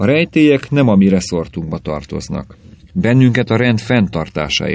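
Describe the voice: What we hear is plain reading aloud.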